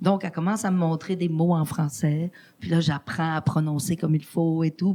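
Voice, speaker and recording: A woman with a fairly low pitch and a dark, mellow tone talks at a fairly slow pace, sounding somewhat breathy. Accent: Spanish. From Quebec (Lac-Saint-Jean), born in Mexico. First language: Spanish (speaking French). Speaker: podcast guest, arts organizer. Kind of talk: casual interview chat.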